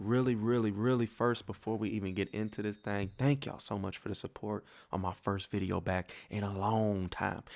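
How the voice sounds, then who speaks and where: A man speaks quietly at a fairly low pitch. His pace is moderate, with hardly any pauses and fairly even intonation. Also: very clean recording, silent background. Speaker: gaming YouTuber. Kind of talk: gaming tutorial. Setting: home at night.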